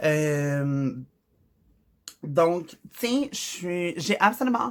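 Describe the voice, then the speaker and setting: A woman speaks in a Quebec accent at a fairly low pitch. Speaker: vlogger. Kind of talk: personal vlog monologue. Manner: halting, with fillers.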